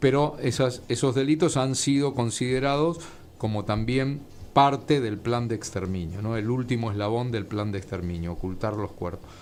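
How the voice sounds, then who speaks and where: The man has an unremarkable speaking voice, medium in pitch, with ordinary pitch variation and a moderate pace. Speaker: author and historian. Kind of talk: interview.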